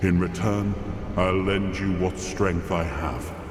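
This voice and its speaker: Against loud background noise, a man uses a put-on character voice that is very deep and low, speaking at a fairly slow pace. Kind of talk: epic fantasy game dialogue. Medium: video game. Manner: dignified, measured.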